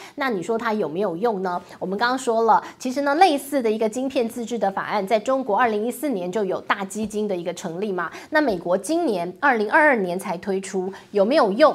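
With a Taiwanese accent, a woman speaks at a fairly quick pace in a fairly high pitch, her intonation lively and her speech almost free of pauses. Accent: Taiwanese Mandarin. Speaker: news commentary host. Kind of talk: solo commentary on international finance. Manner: animated.

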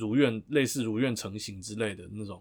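A man's normal speaking voice, medium in pitch, fairly quick, with fairly even intonation, on a very clean recording over a silent background. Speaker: lawyer co-host. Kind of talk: casual legal discussion.

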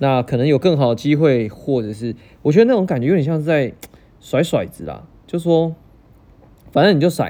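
The intonation is lively. The pace is moderate. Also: man. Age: 30s. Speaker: podcast host. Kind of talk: casual solo podcast monologue.

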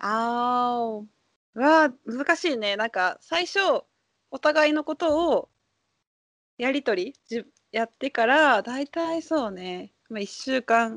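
The voice moves at a very slow pace with lively intonation. The sound is dry and close with no echo, over a quiet background. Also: woman, high pitch for a woman. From Japan. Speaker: Japanese language teacher. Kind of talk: casual chat. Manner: animated.

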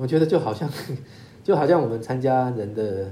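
A man talks at a moderate pace and medium pitch with ordinary pitch variation. His voice is somewhat breathy with a dark, mellow tone, and there is audible room echo. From Taiwan. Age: 50s. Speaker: lawyer. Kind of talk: interview. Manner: halting with repetitions.

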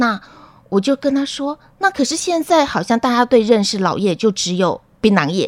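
At a moderate pace, the voice sounds energetic, with very wide pitch swings, in a dry, close recording with no echo. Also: woman. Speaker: public health professor. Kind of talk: radio interview. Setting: studio.

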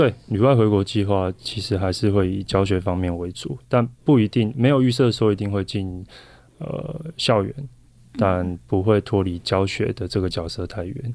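A man's normal speaking voice, fairly low in pitch, with ordinary pitch variation and a moderate pace. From Taiwan. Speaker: professional volleyball player. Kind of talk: interview.

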